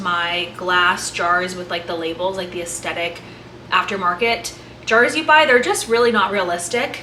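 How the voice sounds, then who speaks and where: A woman's lively intonation, with audible room echo and noticeable background noise. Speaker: lifestyle vlogger. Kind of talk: casual vlog cooking narration. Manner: fast.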